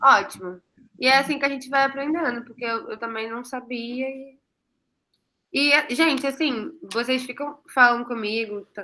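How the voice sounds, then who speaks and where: A woman uses a raised, projected voice at a high pitch, with ordinary pitch variation. Her tone is bright and sharp, with big swings in loudness. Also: moderate pace. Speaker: online class presenter, graduate student. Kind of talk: online class.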